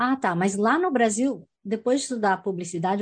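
A woman with a somewhat breathy voice speaks with lively intonation. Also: quiet background. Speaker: community radio host and actress. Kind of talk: interview.

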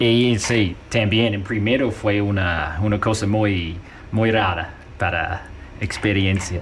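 Very slow, fairly low-pitched male speech, with audible room echo and noticeable background noise. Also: fairly even intonation. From New Zealand, farm in the South. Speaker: guest on radio show. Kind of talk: casual chat. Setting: radio studio.

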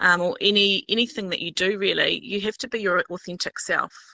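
A woman with a New Zealand accent at a fairly quick pace, in a dry, close sound with no echo on a very clean recording with a silent background. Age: 40s. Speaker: high school English teacher. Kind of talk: casual chat. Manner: hesitant, many fillers.

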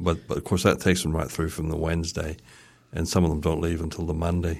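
A man speaks in a New Zealand accent. His pitch is very deep and low, with monotone, flat intonation. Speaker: festival organizer. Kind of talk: radio interview.

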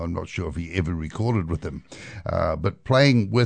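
Against a quiet background, a man with a New Zealand accent talks at a fairly quick pace with ordinary pitch variation. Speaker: radio host and bluegrass musician. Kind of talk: music radio presenting. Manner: relaxed, casual.

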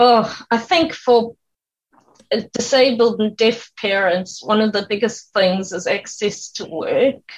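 Speaking very slowly, a woman with a fairly high pitch sounds somewhat breathy and uses ordinary pitch variation. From South Africa. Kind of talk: radio interview.

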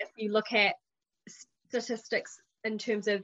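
In a New Zealand accent, a woman talks at a fairly quick pace with a fairly high pitch in a dry, close sound with no echo. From New Zealand, Porirua near Wellington. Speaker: policy worker and community volunteer. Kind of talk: interview chat. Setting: video call.

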